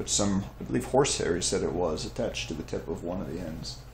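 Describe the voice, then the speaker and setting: A man speaks with vocal fry. Light background noise and audible room echo can be heard. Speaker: bow reviewer. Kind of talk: product review commentary. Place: home room. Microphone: camera far.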